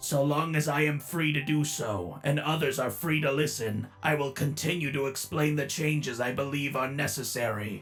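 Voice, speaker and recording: With clear music in the background, a man uses a put-on character voice at a fairly high pitch, keeping a moderate pace with hardly any pauses. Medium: dub. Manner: curt, cold, formal.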